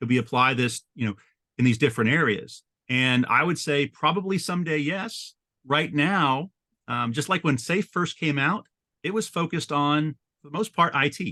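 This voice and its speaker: A man's fairly high, bright and sharp voice with lively intonation. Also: dry, close sound with no echo. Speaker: agile framework consultant. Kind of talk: webinar interview. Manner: fast; halting, many fillers.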